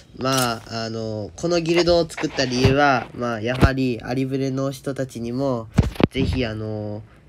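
A man speaks at a fairly slow pace with a medium pitch. His pitch varies in an ordinary way. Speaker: game video creator. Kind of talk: casual talk about a mobile game. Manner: natural speaking voice, not put on.

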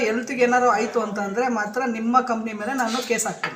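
A man speaks loudly at an extremely high pitch with monotone, flat intonation. Noticeable background noise and audible room echo fill the recording. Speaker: local news reporter. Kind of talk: on-the-spot complaint phone call.

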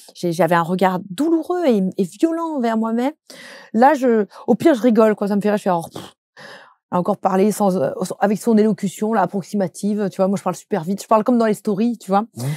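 Over a quiet background, a woman talks at a fairly quick pace in a medium-pitched, dark, mellow tone with lively intonation and dry sound with no echo. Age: 30s. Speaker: social media content creator and trainer; social media content creator, trainer. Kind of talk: interview. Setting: studio. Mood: open, personal, reflective. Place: studio.

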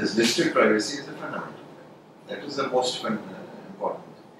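Strong room echo and noticeable background noise surround a man speaking at a medium pitch and a moderate pace. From India. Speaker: interview panel member. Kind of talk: mock job interview. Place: meeting room.

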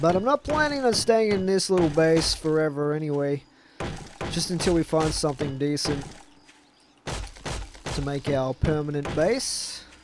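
A man speaks with long, frequent pauses, the sound dry with no echo and noticeable background noise behind him. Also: ordinary pitch variation, moderate pace. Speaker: gamer streamer. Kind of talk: gameplay commentary. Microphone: headset.

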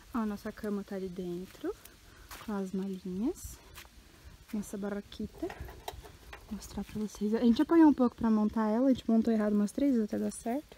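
With light background noise and a dry sound with no echo, a woman talks at a moderate pace with ordinary pitch variation and long, frequent pauses. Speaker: vlogger. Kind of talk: casual vlog chat. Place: open country. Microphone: phone near.

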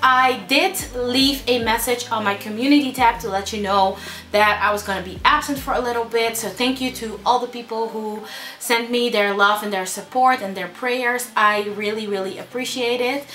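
A woman speaks at a moderate pace with ordinary pitch variation, and light background noise can be heard. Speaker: beauty vlogger. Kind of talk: casual vlog chat. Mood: warm, a bit somber at first. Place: home room.

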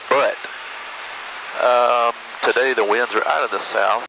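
A man is speaking over noticeable background noise. His sound is dry, with no echo. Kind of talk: casual vlog commentary. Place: plane. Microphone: headset.

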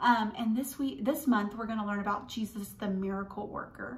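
The pace is fairly quick as a woman talks. Her intonation remains fairly even. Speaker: children's church teacher. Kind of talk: children's Bible lesson. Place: home room. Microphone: phone near.

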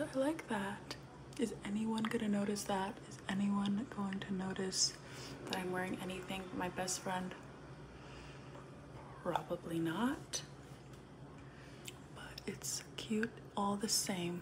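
A soft-spoken woman talks at a very slow pace with long, frequent pauses and ordinary pitch variation. Noticeable background noise sits behind her. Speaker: ASMR content creator. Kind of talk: ASMR get-ready-with-me, casual talk to camera. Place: home room. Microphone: phone near.

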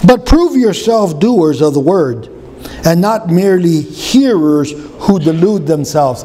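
Pitched high for a man, his delivery moves at a fairly slow pace with lively intonation. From US Southwest (Arizona). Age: 60s. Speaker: pastor. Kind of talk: sermon. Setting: church. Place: church. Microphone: podium.

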